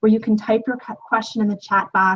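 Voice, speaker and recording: Here is a woman with a fairly high pitch. Her voice is somewhat breathy. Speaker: webinar moderator. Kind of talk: webinar introduction.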